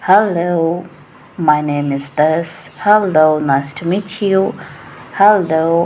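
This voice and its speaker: A woman with a fairly low pitch speaks at a very slow pace with fairly even intonation, over noticeable background noise. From Asia. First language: not English. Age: 20s. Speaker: English teacher. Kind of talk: casual monologue. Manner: chatty, rambling.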